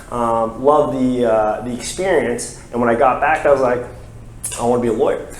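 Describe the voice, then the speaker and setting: A man talks at a fairly quick pace with audible room echo. Noticeable background noise runs underneath. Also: medium pitch for a man, fairly even intonation. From US South, Florida (Brevard County). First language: French. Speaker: lawyer. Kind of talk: interview. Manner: many fillers (um, uh).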